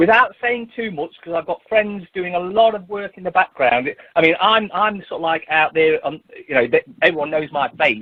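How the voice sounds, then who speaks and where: Lively intonation at a moderate pace. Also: man, high pitch for a man. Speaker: activist. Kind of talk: radio interview. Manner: loud.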